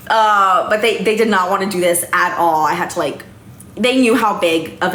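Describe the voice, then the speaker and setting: A woman with an American accent speaks at a medium pitch, with audible room echo and noticeable background noise. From Texas. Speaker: reality TV contestant. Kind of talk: casual chat. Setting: livestream. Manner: animated.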